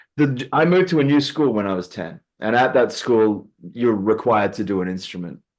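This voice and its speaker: Lively intonation runs through a man's speech in an Australian accent. Behind him, the background stays quiet. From Western Australia (Perth). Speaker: guitarist, gigging musician. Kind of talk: casual interview chat.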